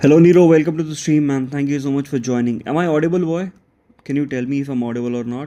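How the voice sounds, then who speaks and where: A man at a very fast pace, his intonation fairly even. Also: fairly high pitch for a man. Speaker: mobile game streamer. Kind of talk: live stream chat. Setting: live stream.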